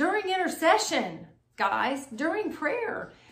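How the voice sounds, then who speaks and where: A woman's fairly slow speech with very wide pitch swings and audible room echo. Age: 60s. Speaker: married couple sharing marriage advice. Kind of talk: casual chat.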